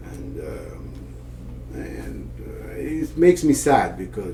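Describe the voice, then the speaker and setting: A man with an Iranian accent speaks very slowly. Audible room echo and noticeable background noise surround his voice. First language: Persian. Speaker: father of the podcast host. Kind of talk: casual conversation. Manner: hesitant, many fillers and restarts.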